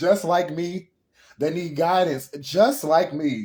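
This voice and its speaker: Speaking at a fairly slow pace, a man with a fairly high pitch and a dark, mellow tone shows ordinary pitch variation. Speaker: tarot reader. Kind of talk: live tarot reading. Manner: emotional, halting.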